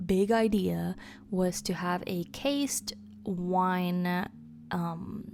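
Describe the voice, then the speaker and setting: A woman at a medium pitch, very slow, with ordinary pitch variation and music in the background. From Spanish-speaking country. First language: Spanish. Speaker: Sims gaming YouTuber. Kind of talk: casual build commentary. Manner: hesitant, filler-heavy.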